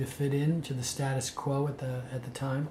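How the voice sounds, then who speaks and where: Somewhat breathy and fairly high-pitched, a man with an American accent speaks in a dark, mellow tone with monotone, flat intonation. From San Francisco, California. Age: 60s. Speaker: spiritual speaker, monk. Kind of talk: spoken self-introduction to event organizers. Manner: halting, many fillers.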